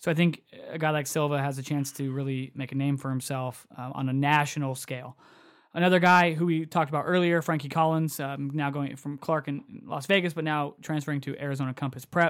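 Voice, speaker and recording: Fairly quick speech from a man with a fairly high pitch and fairly even intonation, in a plain, everyday voice, on a very clean recording with a silent background. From Southern California. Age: 30s. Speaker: basketball podcast co-host. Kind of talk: casual chat.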